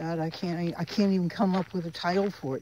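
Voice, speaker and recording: There is noticeable background noise as a woman with an American accent speaks at a medium pitch. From Florida. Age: 70s. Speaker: vlogger. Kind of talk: casual monologue vlog. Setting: outdoors. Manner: animated.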